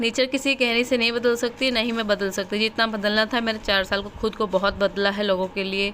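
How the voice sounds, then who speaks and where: Her tone is bright and sharp, with a fairly high pitch and fairly even intonation. The woman keeps a moderate pace with hardly any pauses. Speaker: homemaker vlogger. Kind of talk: casual vlog narration. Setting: at home, partly in sunny courtyard. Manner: blunt, brusque-sounding delivery.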